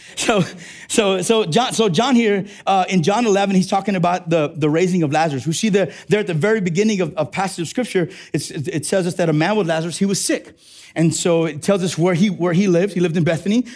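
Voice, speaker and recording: A man's high-pitched, animated, energetic tone at a very fast pace, with ordinary pitch variation. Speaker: preacher. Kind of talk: sermon. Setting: church. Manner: animated, energetic preaching; call-and-response, prompting congregation.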